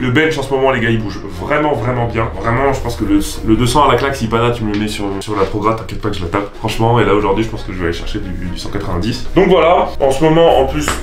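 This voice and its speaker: A man races along at a very fast pace, with audible room echo and noticeable background noise around him. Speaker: fitness youtuber, powerlifter. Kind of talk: casual vlog. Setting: gym. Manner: animated.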